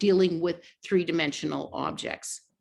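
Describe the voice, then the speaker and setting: Using vocal fry, a woman speaks at a medium pitch with ordinary pitch variation. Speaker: math education consultant and author. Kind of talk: online teacher workshop presentation. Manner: fast.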